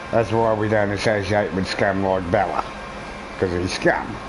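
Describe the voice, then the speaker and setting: There is noticeable background noise and audible room echo as a man speaks with a strong Australian accent. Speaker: gaming streamer. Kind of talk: casual live-stream commentary.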